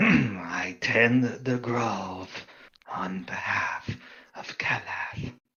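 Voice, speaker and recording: Using a raspy, put-on character voice, a man speaks very slowly at a medium pitch. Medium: actual play. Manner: solemn, terse.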